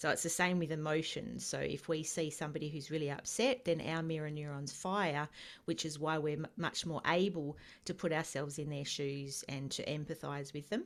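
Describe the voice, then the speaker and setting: A woman with an Australian accent speaks in a very deep, low pitch at a moderate pace. Her intonation is fairly even, and the recording is very clean with a silent background. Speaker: empath educator. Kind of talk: interview.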